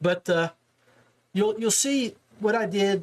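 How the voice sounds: Speaking at a fairly slow pace, a man shows ordinary pitch variation.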